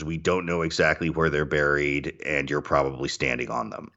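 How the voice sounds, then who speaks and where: Talking at a fairly quick pace, a man with an American accent shows vocal fry. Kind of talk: casual chat.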